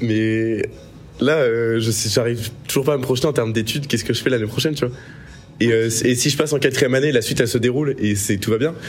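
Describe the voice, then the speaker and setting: Over music in the background, a man speaks very fast at a medium pitch with fairly even intonation. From Marseille, France. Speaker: student, guest. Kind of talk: casual chat.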